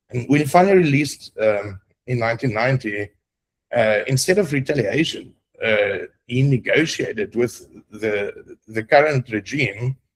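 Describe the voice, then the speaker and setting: A man with a South African accent talks at a moderate pace. His voice is somewhat breathy with lively intonation. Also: medium pitch for a man. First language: Afrikaans. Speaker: roundtable participant. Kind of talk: group discussion presentation. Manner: halting, many fillers.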